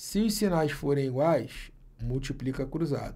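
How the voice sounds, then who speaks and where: Fairly slow and somewhat breathy, a man speaks in a dark, mellow tone at a fairly high pitch. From Brazil. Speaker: math teacher for exam prep. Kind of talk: online video lesson. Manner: animated. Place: office.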